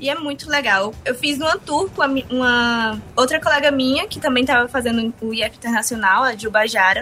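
With hardly any pauses, a woman with a high pitch talks at a moderate pace. Her pitch variation is ordinary. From Ceará interior (Sobral region), Brazil. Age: 20s. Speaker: former student. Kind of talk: interview testimony.

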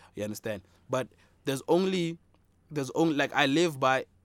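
The sound is dry and close, without echo. A man talks in an animated tone. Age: 20s. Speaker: podcast co-host, aspiring rapper. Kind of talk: casual chat.

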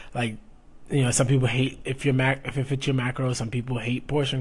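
At a very fast pace, a man talks in a somewhat breathy voice of medium pitch. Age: 20s. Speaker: fitness coach and podcast host. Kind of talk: casual solo podcast monologue.

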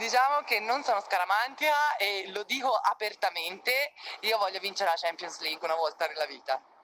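A woman's pitch swings very widely as she talks fairly quickly over noticeable background noise. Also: medium pitch for a woman. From Tuscany, province of Florence (Figline Valdarno). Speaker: professional volleyball player. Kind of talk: interview.

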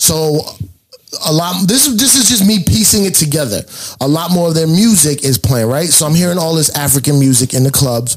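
This man has a plain, everyday voice, pitched fairly high, with lively intonation. He talks at a fairly quick pace and his loudness is very even. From New York. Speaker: DJ and comedian. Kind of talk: casual chat.

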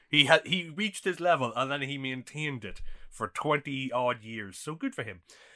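A man with an Irish accent, fairly high in pitch, with ordinary pitch variation, big swings in loudness and a moderate pace. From Ireland. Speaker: podcast co-host. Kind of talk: casual chat.

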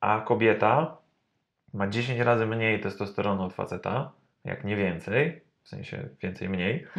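A man with a normal speaking voice talks in a fairly low pitch with ordinary pitch variation over a quiet background. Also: fairly slow pace. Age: 30s. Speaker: personal trainer. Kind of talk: interview. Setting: studio.

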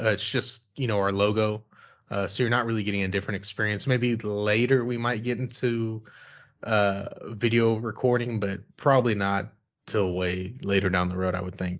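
A man with an ordinary speaking voice talks at a moderate pace in a fairly low pitch. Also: fairly even intonation. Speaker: podcast co-host. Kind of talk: casual chat.

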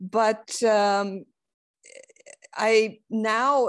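Speaking in a Romanian accent, a woman uses a medium pitch with ordinary pitch variation. The background is quiet. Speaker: investor and scientist. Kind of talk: interview. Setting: video call. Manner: halting, many fillers.

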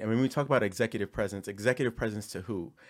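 Over a silent background in a very clean recording, a man with a fairly low pitch speaks in an animated tone. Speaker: podcast host. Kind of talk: casual panel discussion. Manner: animated, joking.

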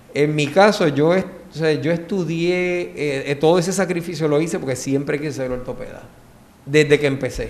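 His is an unremarkable speaking voice, fairly high in pitch for a man. He speaks at a moderate pace with ordinary pitch variation. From Puerto Rico, San Juan. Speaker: orthopedic surgeon, former gymnast. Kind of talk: casual interview.

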